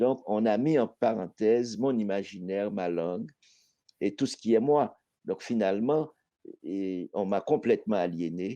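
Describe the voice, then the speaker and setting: Against a quiet background, a man talks at a fairly slow pace with a fairly low pitch and a dark, mellow tone. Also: ordinary pitch variation. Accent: Haitian. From Haiti. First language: Haitian Creole (speaking French). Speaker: poet. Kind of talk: panel discussion.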